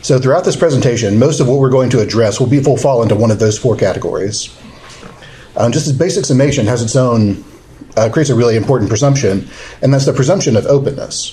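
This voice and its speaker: Amid noticeable background noise and audible room echo, a man mumbles at a very fast pace. His medium pitch varies in an ordinary way, and his loudness stays very even. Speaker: government lawyer giving training. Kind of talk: training seminar lecture. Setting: seminar room with live audience. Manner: mumbling.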